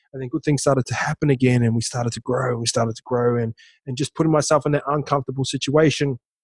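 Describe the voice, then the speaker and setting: In a New Zealand accent, a man talks at a very fast pace in a monotone, flat intonation, somewhat breathy and medium in pitch, with a dry, close sound with no echo. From New Zealand, small town. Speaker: former rugby league player and entrepreneur. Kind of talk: casual interview chat.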